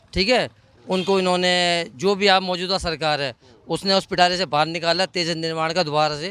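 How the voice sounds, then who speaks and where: His voice is high-pitched for a man, bright and sharp in tone, with fairly even intonation. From Delhi, India. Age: 60s. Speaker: member of the public. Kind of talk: street interview.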